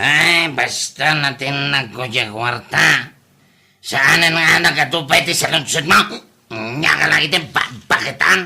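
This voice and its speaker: A man puts on a character voice with a fairly high pitch. He speaks at a very slow pace with ordinary pitch variation. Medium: audio drama. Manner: loud, blustering.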